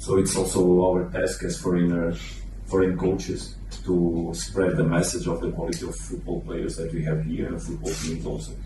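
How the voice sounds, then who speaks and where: A man with a Portuguese accent talks at a moderate pace in a very deep, low voice, his pitch swinging very widely. Noticeable background noise and audible room echo surround him. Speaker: football coach. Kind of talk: press conference. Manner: halting.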